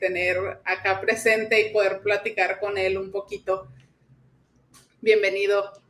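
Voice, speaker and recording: At a fairly slow pace with long, frequent pauses, a woman speaks at a medium pitch in a monotone, flat intonation. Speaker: podcast host. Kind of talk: podcast introduction.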